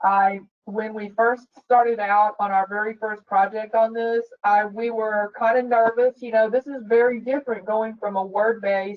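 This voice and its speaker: Fairly high-pitched, the woman's voice holds a flat, monotone intonation. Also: moderate pace. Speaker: director of specifications at an architecture firm. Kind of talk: webinar discussion. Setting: online webinar. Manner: loud; halting, many repetitions.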